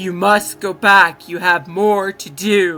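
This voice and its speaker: Someone does a put-on character voice at a middle pitch and a fairly slow pace. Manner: commanding, solemn.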